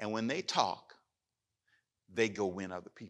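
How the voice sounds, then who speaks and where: Here a man speaks at a moderate pace. His pitch is medium. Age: 60s. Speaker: pastor. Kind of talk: sermon. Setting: church.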